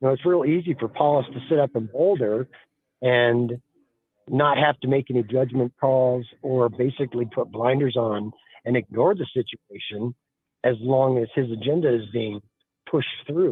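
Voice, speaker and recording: A man with an American accent talks at a moderate pace and medium pitch. His is an unremarkable speaking voice with ordinary pitch variation. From Colorado. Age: 60s. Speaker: caller. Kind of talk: call-in radio opinion.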